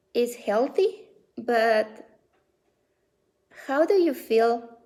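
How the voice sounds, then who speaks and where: A woman with a Spanish accent talks at a fairly high pitch. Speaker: belly dance studio director. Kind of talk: casual talk to camera on a live stream. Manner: hesitant, with many fillers.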